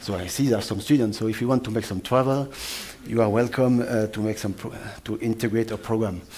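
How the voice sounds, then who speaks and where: A French accent against noticeable background noise. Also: man. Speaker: atmospheric scientist. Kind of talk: lecture. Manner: fast; halting, many fillers.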